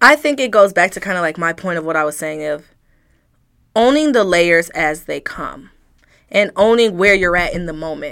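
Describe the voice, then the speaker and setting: A woman with an unremarkable speaking voice talks at a moderate pace with lively intonation. The recording is very clean, with a silent background. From Detroit, Michigan. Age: 20s. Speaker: blogger and mother. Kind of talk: interview.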